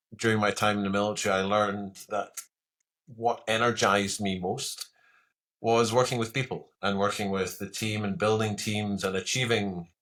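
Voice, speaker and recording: A man with a Scottish accent speaks at a moderate pace with monotone, flat intonation on a very clean recording with a silent background. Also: fairly low pitch for a man. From Scotland. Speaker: retired military pilot turned coach. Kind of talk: podcast interview.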